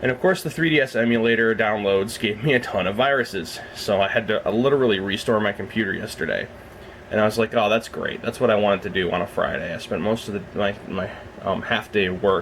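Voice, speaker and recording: Against noticeable background noise, a man speaks very fast at a fairly low pitch with ordinary pitch variation. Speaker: reptile breeder vlogger. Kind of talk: casual vlog.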